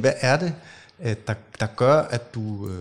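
A man with a medium-pitched, somewhat breathy voice speaks in a very clean recording with a silent background. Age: 40s. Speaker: podcast host. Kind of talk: casual interview conversation. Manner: hesitant, many fillers.

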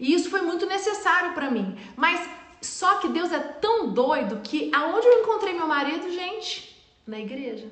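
An extremely high-pitched woman's voice at a fairly slow pace, with noticeable background noise and audible room echo. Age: 40s. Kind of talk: motivational live stream talk. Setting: live video stream.

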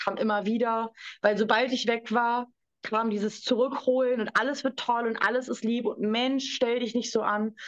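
A woman speaks at a moderate pace in monotone, flat intonation. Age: 20s. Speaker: survivor of domestic abuse. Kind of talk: testimony.

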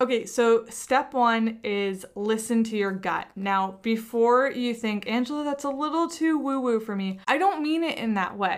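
With an unremarkable speaking voice, a woman talks fairly slowly and barely pauses, her fairly high pitch rising and falling in a lively way on a very clean recording with a silent background. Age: 30s. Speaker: podcast host and entrepreneur. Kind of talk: solo podcast monologue.

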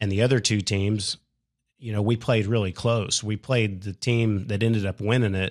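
In a dry, close sound with no echo and a quiet background, a man speaks at a moderate pace with a fairly low pitch and monotone, flat intonation. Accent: American. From Oklahoma. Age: 40s. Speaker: pickleball player. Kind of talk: interview.

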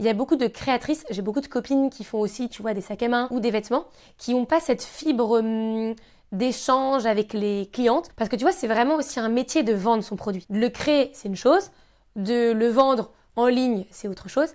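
A woman with a plain, everyday voice speaks at a moderate pace and a fairly high pitch, with ordinary pitch variation, on a very clean recording with a silent background. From Normandy, France (Caen). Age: 20s. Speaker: handbag designer and entrepreneur. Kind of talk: interview conversation. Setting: her showroom.

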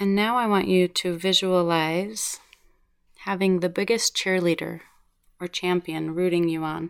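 Over a silent background in a very clean recording, a normal speaking voice moves at a fairly slow pace with fairly even intonation. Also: woman, fairly low pitch for a woman. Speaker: podcast host and meditation guide. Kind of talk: guided meditation. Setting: home recording studio in a closet. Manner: slow, soothing, gentle and calming; soft-spoken, with long pauses.

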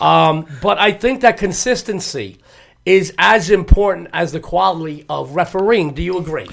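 A man with a New York accent, high-pitched, at a moderate pace. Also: ordinary pitch variation. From New York (Lower East Side, Manhattan). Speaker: podcast co-host, sports handicapper, former amateur boxer. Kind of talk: casual interview chat. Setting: studio.

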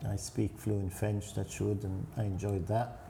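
At a moderate pace, a man speaks in a somewhat breathy, dark, mellow tone at a fairly low pitch. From Egypt. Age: 70s. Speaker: restaurant owner. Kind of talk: casual interview. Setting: restaurant.

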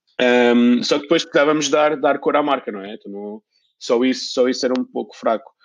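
This man talks at a fairly quick pace with a medium pitch. His pitch varies an ordinary amount while his loudness swings widely. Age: 40s. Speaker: sock brand founder. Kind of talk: casual interview. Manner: hesitant, with many repetitions.

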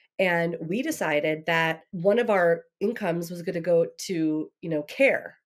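A woman speaks at a fairly low pitch in a plain, everyday voice. Her pitch varies in an ordinary way, and her fairly slow pace has hardly any pauses. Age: 40s. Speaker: digital marketing expert. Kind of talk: casual interview chat.

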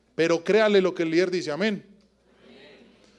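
Animated in tone, a man with an Antioquian accent speaks with ordinary pitch variation. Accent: Colombian paisa Spanish. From Colombia, Antioquia (Yarumal, raised in Medellín). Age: 40s. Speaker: preacher. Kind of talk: sermon.

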